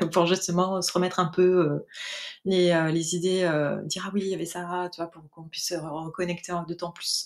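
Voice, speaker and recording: The voice moves at a moderate pace with monotone, flat intonation. Its loudness swings widely. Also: woman, fairly low pitch for a woman. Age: 40s. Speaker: mobile hairdresser giving a client testimonial. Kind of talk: testimony interview. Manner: hesitant, many fillers.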